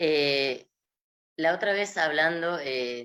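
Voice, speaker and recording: This woman speaks with a Rioplatense accent, a bright, sharp tone and fairly even intonation. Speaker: gerontology specialist. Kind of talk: interview.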